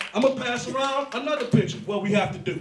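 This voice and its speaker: With an American accent, a man talks at a very fast pace with ordinary pitch variation. Audible room echo and noticeable background noise fill the recording. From East Cleveland, Ohio. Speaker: community activist. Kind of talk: public meeting speech. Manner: loud and fast usually.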